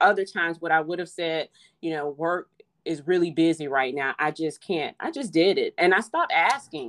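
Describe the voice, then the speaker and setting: Speaking at a moderate pace, a woman with a normal speaking voice sits fairly low in pitch with ordinary pitch variation, in a dry, close sound with no echo. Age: 40s. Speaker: childhood friend of the host. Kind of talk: casual chat. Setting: phone call.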